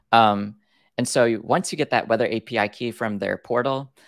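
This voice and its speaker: Vocal fry at a moderate pace, with ordinary pitch variation, a dry sound with no echo and a quiet background. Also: man. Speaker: presenter. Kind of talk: tutorial. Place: home room. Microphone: video call.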